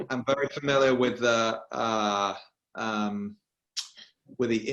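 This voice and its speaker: A man with a British accent and a medium pitch. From England, Birmingham. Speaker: political journalist. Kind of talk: panel discussion.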